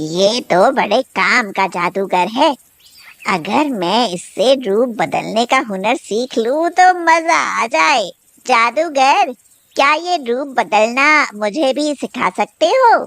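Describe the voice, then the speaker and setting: A woman puts on a cartoonish character voice. Her pitch is high and swings very widely. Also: fairly slow pace. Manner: sharp-tongued, indignant.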